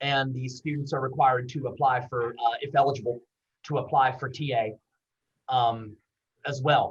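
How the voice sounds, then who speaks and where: The man's pitch sits in the medium range, and his voice is somewhat breathy. He speaks in a monotone, flat way with long, frequent pauses. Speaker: university veterans services director. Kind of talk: webinar presentation. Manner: fast.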